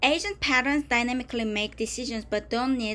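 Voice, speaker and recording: Recorded very cleanly with a silent background, a woman speaks at a fairly high pitch with ordinary pitch variation. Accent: Korean. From Korea. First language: Korean. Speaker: tech tutorial presenter. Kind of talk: tutorial. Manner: halting, with self-corrections.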